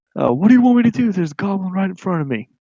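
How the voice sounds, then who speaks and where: Putting on a character voice, a man talks at a very fast pace with a high pitch. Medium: actual play.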